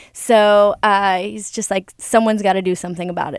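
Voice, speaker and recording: On a very clean recording with a silent background and a dry, close sound with no echo, a woman with a normal speaking voice talks at a moderate pace and medium pitch. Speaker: volunteer group board member. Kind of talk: radio interview. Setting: studio.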